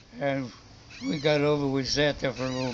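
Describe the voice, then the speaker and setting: A man with an American accent, medium pitch and moderate pace, over noticeable background noise. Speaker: war veteran. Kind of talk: interview answer.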